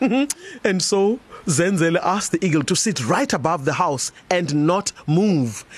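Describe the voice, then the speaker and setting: The speaker has an animated tone and a fairly slow pace. Noticeable background noise runs under the voice. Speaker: storyteller. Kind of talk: fairy-tale storytelling. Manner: animated, expressive; warm, slow-paced narration with repetition.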